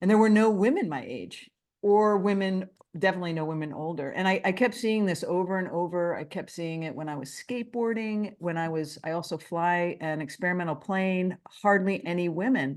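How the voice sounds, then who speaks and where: A woman's plain, everyday voice at medium pitch, fairly quick, with lively intonation, against a quiet background. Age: 60s. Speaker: author. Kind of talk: interview.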